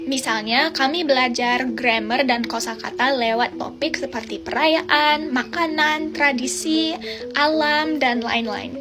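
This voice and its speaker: At a very slow pace with hardly any pauses, a woman with a slight non-native accent speaks in a high voice with ordinary pitch variation. Music plays in the background, and there is audible room echo. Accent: slightly non-native accent in Indonesian. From Australia. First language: English (speaking Indonesian). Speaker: foreign Indonesian learner, vlogger. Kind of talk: casual vlog monologue.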